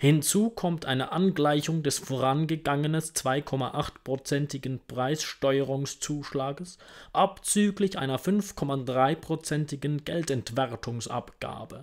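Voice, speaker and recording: Against a quiet background, a man talks at a fairly slow pace with hardly any pauses and ordinary pitch variation. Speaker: audiobook reader. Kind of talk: reading aloud. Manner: formal. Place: home room. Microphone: earbuds.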